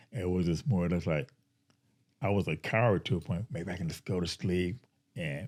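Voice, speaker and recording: A man's very deep, low voice moves at a moderate pace with ordinary pitch variation in a very clean recording with a silent background. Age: 60s. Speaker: person in addiction recovery. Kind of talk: testimony.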